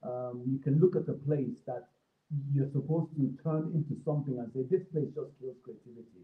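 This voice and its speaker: A man with an African accent and a fairly high pitch speaks at a moderate pace, with ordinary pitch variation and big swings in loudness. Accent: African accent, noticeable on some words. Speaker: creative professional. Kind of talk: talk broadcast. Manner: hesitant, many fillers.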